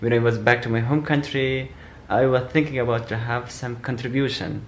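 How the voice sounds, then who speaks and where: The voice is somewhat breathy, with monotone, flat intonation at a moderate pace. Room echo is audible. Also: man, medium pitch for a man. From Afghanistan. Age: 20s. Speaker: asylum seeker. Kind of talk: testimony. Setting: self-recorded video. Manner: halting.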